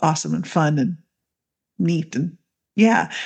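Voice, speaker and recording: A woman with an unremarkable speaking voice talks at a moderate pace and a fairly low pitch. The background is quiet. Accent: Canadian. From Canada. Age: 40s. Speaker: midwife and women's coach. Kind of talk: casual interview chat.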